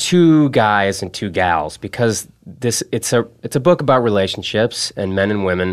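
A plain, everyday voice with lively intonation moves at a fairly slow pace. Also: man. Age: 30s. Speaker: podcast host. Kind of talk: casual chat.

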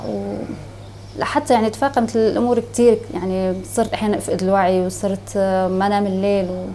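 Noticeable background noise sits under speech at a moderate pace with fairly even intonation. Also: woman. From Syria, Homs. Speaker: refugee. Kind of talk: testimony. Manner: halting.

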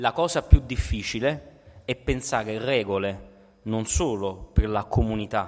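An unremarkable speaking voice from a man, fairly low in pitch, carries lively intonation. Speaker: political philosophy scholar and activist. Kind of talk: lecture.

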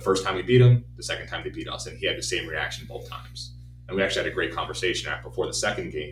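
Against music in the background, a man with a very deep, low pitch talks very fast, using ordinary pitch variation. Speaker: baseball coach and podcast host. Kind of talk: casual chat.

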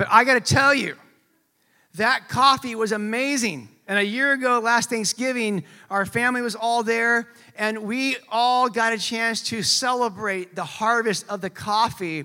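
With a Californian accent, the speaker uses a raised, projected voice with a bright, sharp tone, ordinary pitch variation and a fairly slow pace. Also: man, extremely high pitch for a man. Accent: American (Californian). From California, US. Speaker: pastor. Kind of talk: sermon. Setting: church. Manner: casual, conversational.

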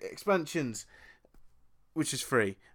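In a very clean recording with a silent background, a man talks with an English accent. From England. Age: 20s. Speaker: podcast co-host. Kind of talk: casual chat.

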